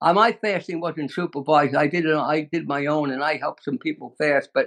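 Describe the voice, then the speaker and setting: Dry and close with no echo, a man's fairly high-pitched voice carries a Brooklyn accent. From US Northeast, Brooklyn, New York. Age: 90s. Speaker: natural health expert. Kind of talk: interview.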